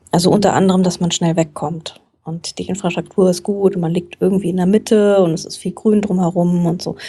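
A woman speaks in a monotone with flat intonation. Her tone is dark and mellow, at medium pitch. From Frankfurt, Germany. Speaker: journalist and book podcaster. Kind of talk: casual interview chat.

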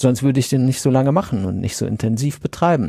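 The tone is dark and mellow with ordinary pitch variation, recorded very cleanly against a silent background in a dry, close sound with no echo. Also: man. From Sauerland, North Rhine-Westphalia. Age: 40s. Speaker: podcaster. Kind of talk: casual chat.

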